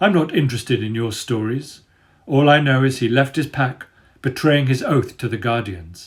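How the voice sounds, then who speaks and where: A man uses a husky, put-on character voice at a medium pitch. He talks at a moderate pace with ordinary pitch variation. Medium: read story. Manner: cool, cutting.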